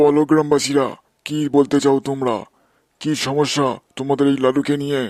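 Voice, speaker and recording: In a cartoonish character voice, a man speaks at a fairly high pitch and moderate pace with monotone, flat intonation, in a very clean recording with a silent background. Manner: commanding.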